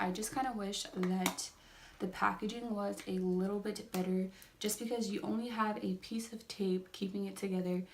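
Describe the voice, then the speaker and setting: Noticeable background noise sits behind the speaker. A woman talks with ordinary pitch variation. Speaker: beauty vlogger. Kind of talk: makeup review vlog. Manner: fast; words jumbled, tongue-tied.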